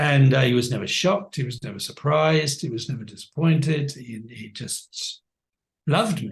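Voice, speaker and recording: This man's voice sits fairly high, somewhat breathy, with lively intonation, big swings in loudness and a moderate pace. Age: 70s. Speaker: life coach. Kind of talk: interview conversation. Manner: halting.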